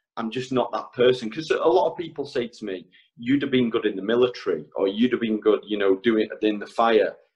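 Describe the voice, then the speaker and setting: Fairly quick in pace, a man talks at a medium pitch with ordinary pitch variation. He has a normal speaking voice. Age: 30s. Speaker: electrician. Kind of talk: casual chat. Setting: podcast.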